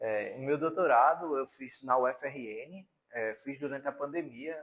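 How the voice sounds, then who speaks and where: A man's ordinary speaking voice at medium pitch, with fairly even intonation. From Paraíba, Brazil (João Pessoa). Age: 30s. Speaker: university lecturer. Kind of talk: lecture.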